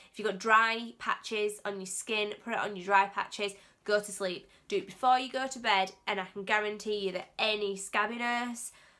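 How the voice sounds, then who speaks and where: Over a very clean, silent background, a woman speaks in an English accent at a moderate pace, her medium pitch monotone and flat. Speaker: beauty vlogger. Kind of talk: casual vlog tutorial. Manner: halting, stumbling over words.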